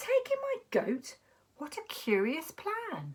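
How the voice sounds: A woman speaks slowly in a put-on character voice, pitched extremely high, with very wide swings in pitch.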